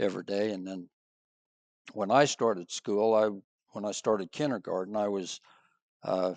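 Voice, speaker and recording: A man with an American accent speaks at a moderate pace, with long, frequent pauses and fairly even intonation in a fairly low pitch. The sound is dry and close with no echo, over a quiet background. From rural Utah. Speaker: former church member telling his story. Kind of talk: interview storytelling.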